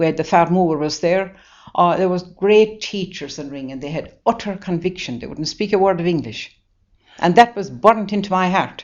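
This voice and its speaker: Big swings in loudness, in a Waterford accent. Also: woman, medium pitch for a woman, ordinary pitch variation, moderate pace. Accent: Irish, Waterford. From Ireland, County Waterford. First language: Irish. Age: 80s+. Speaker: nun. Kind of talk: interview. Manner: halting; animated.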